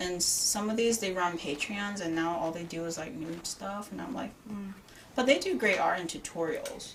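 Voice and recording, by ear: A woman with a New York accent speaks at a medium pitch and a moderate pace, with ordinary pitch variation. Background noise is noticeable. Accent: New York area.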